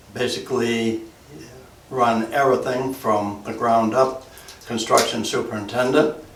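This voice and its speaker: Amid noticeable background noise and audible room echo, a man with an American accent speaks at a medium pitch in monotone, flat intonation. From New England, Massachusetts (Essex County). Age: 80s+. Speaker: retired fire chief and builder. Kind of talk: oral history interview. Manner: halting, with frequent fillers.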